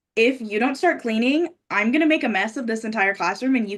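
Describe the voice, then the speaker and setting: Loud and at a moderate pace, a woman talks with a fairly high pitch. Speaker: pageant titleholder and daycare teacher. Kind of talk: casual chat. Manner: halting in conversation.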